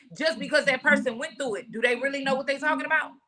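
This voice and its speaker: The voice is raised and projected. Its tone is animated. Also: woman. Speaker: podcast host. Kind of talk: casual discussion. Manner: loud.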